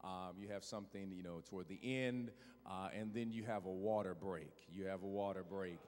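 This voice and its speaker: A man talks at a moderate pace with a fairly low pitch. His intonation stays fairly even. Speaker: guest preacher. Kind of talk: sermon opening remarks. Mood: warm, joking. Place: church. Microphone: handheld.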